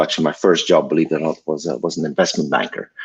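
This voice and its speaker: The speaker is a man. He talks with a Belgian accent. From Belgium. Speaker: tech company founder. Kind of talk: interview. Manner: halting.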